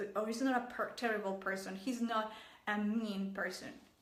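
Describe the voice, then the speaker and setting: With a Mexican accent, a woman talks at a fairly high pitch amid audible room echo. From Mexico. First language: Spanish. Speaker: relationship coach. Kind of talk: vlog advice talk. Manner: halting.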